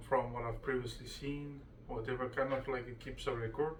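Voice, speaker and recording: Over noticeable background noise and audible room echo, a man speaks at a moderate pace with monotone, flat intonation. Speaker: vlogger sharing personal ADHD experience. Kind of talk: casual personal monologue. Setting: at home in front of computer. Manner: halting, many fillers and restarts.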